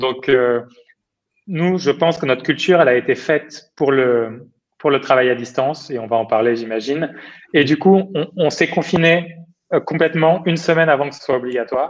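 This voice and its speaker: Speaking at a moderate pace, a man with a fairly high pitch uses an ordinary speaking voice. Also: ordinary pitch variation. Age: 30s. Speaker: startup founder and CEO. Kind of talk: interview.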